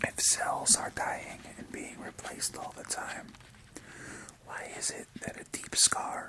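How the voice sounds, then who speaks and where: A man whispers at a very slow pace. Noticeable background noise sits behind him. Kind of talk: ASMR whisper reading of a book. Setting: close-mic recording with mouth sounds and page turning. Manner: whispered, soft.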